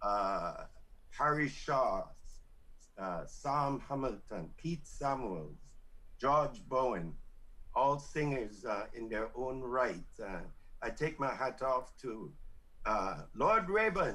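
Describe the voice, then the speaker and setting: A man with a medium pitch and a bright, sharp tone speaks at a very slow pace, his pitch swinging very widely. Long, frequent pauses break up the speech, and room echo is audible. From Belize. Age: 60s. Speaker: veteran singer. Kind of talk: radio interview. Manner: halting, many fillers.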